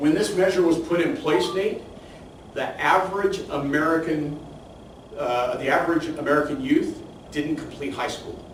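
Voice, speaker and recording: At a moderate pace, a man speaks in a high voice, with audible room echo and noticeable background noise. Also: ordinary pitch variation. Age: 60s. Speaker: professor. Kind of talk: lecture.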